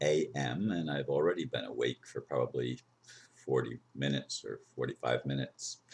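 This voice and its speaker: A man speaks at a fairly slow pace. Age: 60s. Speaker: video blogger. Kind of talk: personal vlog monologue.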